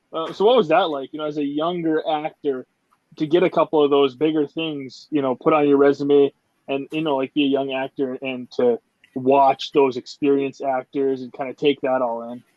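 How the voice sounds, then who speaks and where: In an Upper Midwest accent, a man talks at a moderate pace. His pitch is fairly high and his intonation fairly even. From Upper Michigan, US Midwest. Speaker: podcast host. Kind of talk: casual interview chat.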